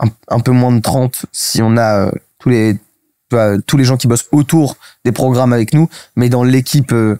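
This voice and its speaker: At medium pitch, a man speaks in a dark, mellow tone with very even loudness. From Paris, France. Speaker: startup cofounder. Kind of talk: interview. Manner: fast; hesitant, many fillers.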